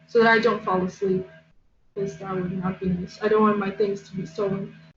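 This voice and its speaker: Over music in the background, a woman talks at a medium pitch with fairly even intonation. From Poland. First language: Polish. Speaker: artist. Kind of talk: casual chat.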